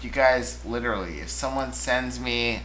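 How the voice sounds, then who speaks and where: A man with a very deep, low voice at a fairly slow pace, over light background noise. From Washington DC area, US. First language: Spanish. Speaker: music producer streamer. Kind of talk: casual livestream chat. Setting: livestream. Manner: halting.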